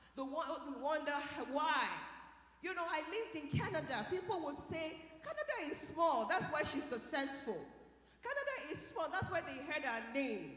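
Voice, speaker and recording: A woman with a Nigerian accent and a high voice speaks at a moderate pace in an animated tone with lively intonation, with audible room echo. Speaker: scientist and keynote speaker. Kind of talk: motivational keynote talk.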